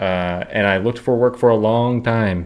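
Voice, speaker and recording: A man talks fairly slowly in an unremarkable speaking voice. His intonation stays fairly even. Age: 20s. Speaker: video game streamer. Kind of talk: casual live stream chat.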